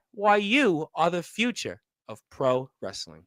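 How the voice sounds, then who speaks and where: A man with a Brooklyn accent, a bright, sharp, animated tone and very wide pitch swings, on a very clean recording with a silent background. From New York, Brooklyn. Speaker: wrestling radio host. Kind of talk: casual interview.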